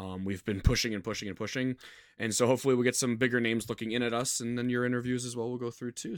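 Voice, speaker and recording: A man with an American accent and a medium pitch speaks at a very fast pace in a very clean recording with a silent background. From United States. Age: 20s. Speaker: podcast and radio host. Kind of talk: casual interview chat.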